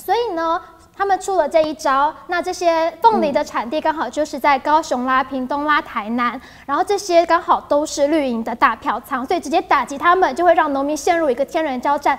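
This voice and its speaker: A woman with a high pitch speaks at a fairly quick pace with ordinary pitch variation. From Taiwan. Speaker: news show host. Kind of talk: casual news chat. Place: studio. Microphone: lapel.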